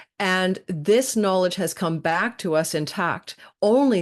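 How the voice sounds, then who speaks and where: A woman speaks in a plain, everyday voice at a medium pitch with ordinary pitch variation. The background is quiet. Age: 60s. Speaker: astrologer. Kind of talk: podcast interview.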